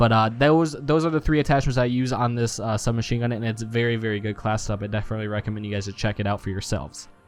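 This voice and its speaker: A man's medium-pitched voice at a very fast pace with hardly any pauses and ordinary pitch variation, music in the background. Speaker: gaming YouTuber. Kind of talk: gameplay commentary. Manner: halting, stuttering; casual.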